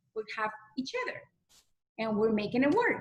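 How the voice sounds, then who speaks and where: A speaker with a strong non-native accent talks at a moderate pace. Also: woman. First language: not English. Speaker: direct sales consultant. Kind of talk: testimony.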